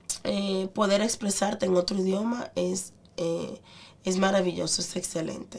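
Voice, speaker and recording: A woman with a plain, everyday voice talks fairly slowly at a medium pitch with fairly even intonation. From Dominican Republic, San Pedro de Macorís. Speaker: restaurant owner. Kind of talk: interview.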